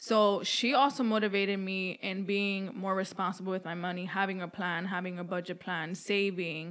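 At a moderate pace with hardly any pauses, a woman with an American accent speaks at a medium pitch with fairly even intonation. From New York City. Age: 20s. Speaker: podcast co-host. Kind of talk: casual chat.

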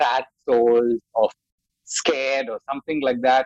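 With an Indian accent, a man speaks at a fairly slow pace with lively intonation, the sound dry and close without echo. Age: 40s. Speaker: makeup artist. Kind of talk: interview.

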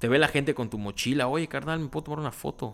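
A man at a fairly quick pace with ordinary pitch variation, on a very clean recording with a silent background. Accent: Mexican. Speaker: podcast host. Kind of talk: casual chat. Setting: home recording. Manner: casual, natural unforced voice; animated.

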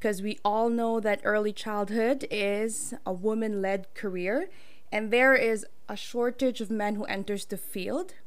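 A woman's animated, excited tone, fairly high-pitched, at a fairly slow pace. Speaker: podcast host. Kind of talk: casual podcast interview.

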